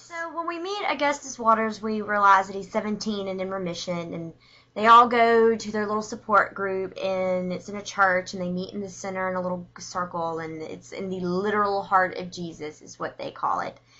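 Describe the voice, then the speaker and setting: A woman at medium pitch talks at a moderate pace with hardly any pauses. Her loudness swings widely while her pitch varies in an ordinary way. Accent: strong Southern US. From US South, Alabama. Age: 20s. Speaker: book reviewer vlogger. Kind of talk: casual video review. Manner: chatty, informal.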